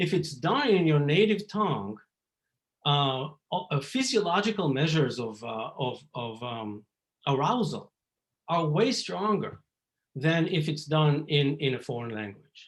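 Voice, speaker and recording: A somewhat breathy man with an Israeli accent, fairly high pitch, very wide pitch swings and a fairly slow pace. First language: Hebrew. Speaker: psychology professor. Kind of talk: lecture. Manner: halting, many fillers.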